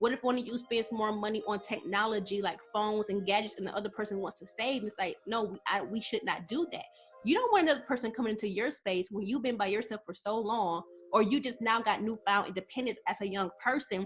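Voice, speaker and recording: Music plays in the background. A woman talks very fast at a fairly high pitch. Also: ordinary pitch variation. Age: 20s. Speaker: vlogger giving relationship advice. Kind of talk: casual advice monologue to camera. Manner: conversational with fillers.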